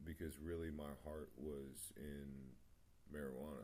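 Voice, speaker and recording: With audible room echo, a man with a very deep, low pitch and a dark, mellow tone speaks at a fairly slow pace with fairly even intonation. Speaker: vlogger sharing personal story. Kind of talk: personal testimony monologue. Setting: home meditation spot, video recording. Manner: mumbling; halting, many fillers.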